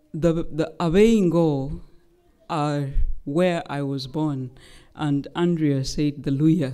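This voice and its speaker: Very slow woman's voice with a Kenyan accent, very deep and low, dark and mellow, with ordinary pitch variation and audible room echo. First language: Luhya. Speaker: human rights lawyer. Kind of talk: public lecture. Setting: lecture hall with audience. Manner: formal.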